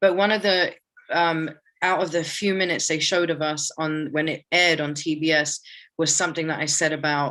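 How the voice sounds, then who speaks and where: In a quiet background, a woman with a British accent speaks fairly quickly, her very deep, low pitch carrying a bright, sharp tone. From UK, Palestinian family. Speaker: artist and organizer. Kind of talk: interview. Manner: casual, animated.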